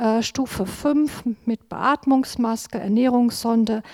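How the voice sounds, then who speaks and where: A woman with a high pitch and ordinary pitch variation speaks at a very slow pace. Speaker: nurse. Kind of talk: testimony. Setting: church service. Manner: reading from notes.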